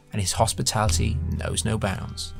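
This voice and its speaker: Moderately paced speech from a man over background music. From British. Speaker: podcast host. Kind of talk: first-person story narration.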